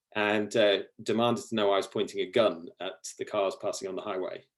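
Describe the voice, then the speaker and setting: Man with a British accent at a moderate pace, fairly even in intonation. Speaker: ecology researcher. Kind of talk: lecture. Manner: halting.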